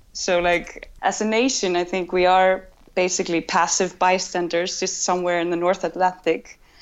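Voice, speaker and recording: Speaking with an Icelandic accent, a woman at medium pitch keeps a monotone, flat intonation and leaves hardly any pauses. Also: moderate pace. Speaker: cultural correspondent. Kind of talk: interview.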